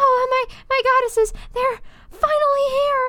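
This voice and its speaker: In a put-on character voice, a woman speaks at an extremely high, squeaky pitch. Her intonation is monotone and flat, and her pace is fairly slow. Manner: urgent, relieved.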